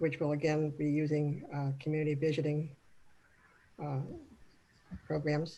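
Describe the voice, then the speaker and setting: In an American accent, a woman speaks with a very deep, low pitch, a dark, mellow tone and monotone, flat intonation. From Arizona. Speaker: city manager. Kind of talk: panel discussion. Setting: video call. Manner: soft-spoken.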